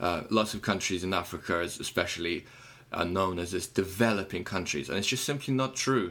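A man with a very deep, low pitch talks at a fairly quick pace. His tone is bright and sharp, with ordinary pitch variation. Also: very clean recording, silent background. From Ukraine, Kyiv. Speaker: musician. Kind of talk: casual chat.

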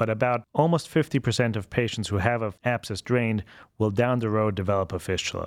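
In a German accent, a man speaks at a fairly quick pace with a medium pitch. The sound is dry and close with no echo, on a very clean recording with a silent background. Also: ordinary pitch variation. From Austria, Vienna. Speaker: colorectal surgeon. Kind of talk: interview.

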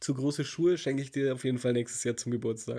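A man's medium-pitched voice with a dark, mellow tone on a very clean recording with a silent background. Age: 30s. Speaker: podcast co-host. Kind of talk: casual chat.

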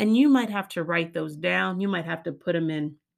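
At a moderate pace, a woman speaks in a fairly low voice with an animated tone. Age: 40s. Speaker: life coach. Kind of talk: motivational talk.

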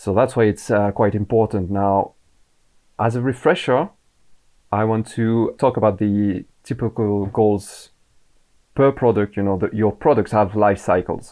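In a French accent, a dark, mellow voice moves at a fairly slow pace with long, frequent pauses over a quiet background. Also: man, fairly low pitch for a man, fairly even intonation. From France. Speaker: Amazon advertising manager. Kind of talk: podcast interview.

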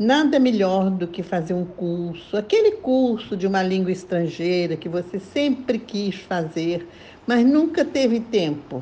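A woman's somewhat breathy voice at medium pitch, dark and mellow in tone, with lively intonation and a fairly slow pace. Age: 80s+. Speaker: retired lawyer and columnist. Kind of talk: prepared talk read aloud.

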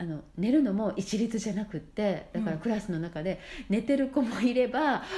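This somewhat breathy voice has a dark, mellow tone and lively intonation, moving at a moderate pace. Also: woman, fairly high pitch for a woman. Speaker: mother living abroad. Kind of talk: casual chat. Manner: halting, filler-heavy.

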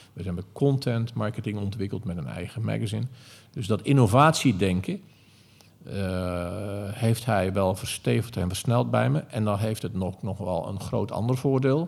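A man talks at a moderate pace with lively intonation. His fairly low voice carries vocal fry. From Netherlands, Zeeland. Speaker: retail executive. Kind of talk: interview. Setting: company head office.

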